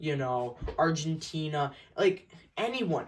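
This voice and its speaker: Loud and at a fairly slow pace, a man speaks with lively intonation. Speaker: small YouTuber. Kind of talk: casual update vlog. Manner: stuttering, halting.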